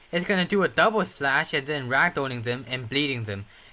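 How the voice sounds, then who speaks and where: Noticeable background noise runs under this man's speech. His intonation is lively. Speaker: gaming video creator. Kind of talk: gameplay tutorial. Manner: unscripted, hesitant with fillers.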